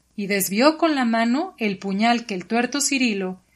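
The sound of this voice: An unforced reading voice, nothing more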